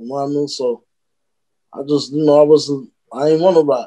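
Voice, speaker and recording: A man with an American accent and a dark, mellow tone, fairly even intonation, against a quiet background. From Brooklyn, New York; New York. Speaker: rapper; podcast guest. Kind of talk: casual interview. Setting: video call. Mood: reflective, earnest. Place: home room. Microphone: video call.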